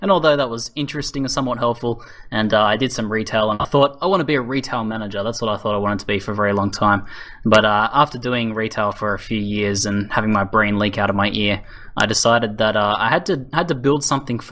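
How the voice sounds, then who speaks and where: Talking at a very fast pace, a man with an Australian accent has a fairly low voice and a bright, sharp tone. His pitch varies in an ordinary way. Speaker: gaming YouTuber. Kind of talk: interview Q&A. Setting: voice chat server.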